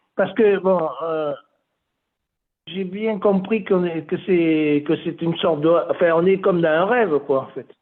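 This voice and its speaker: A fairly slow pace broken by long, frequent pauses. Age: 60s. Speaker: caller, spiritual seeker. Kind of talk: spiritual questions on a call. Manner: hesitant, many fillers.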